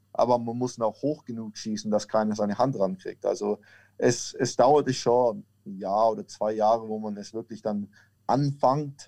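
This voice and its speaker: With a Franconian accent, a man speaks at a moderate pace in a dark, mellow tone and medium pitch against a quiet background. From Franconia, Germany (near Nuremberg). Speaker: American football kicker. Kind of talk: interview.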